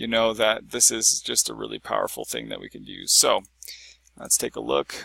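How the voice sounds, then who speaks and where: A man speaks with big swings in loudness. The sound is dry and close, with no echo. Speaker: software tutorial creator. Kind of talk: screen-recorded tutorial. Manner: fast; casual with fillers.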